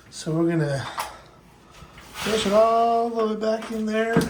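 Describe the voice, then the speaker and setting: The speech comes at a fairly slow pace over noticeable background noise. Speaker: maintenance worker making how-to videos. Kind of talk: tutorial. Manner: casual, halting with fillers.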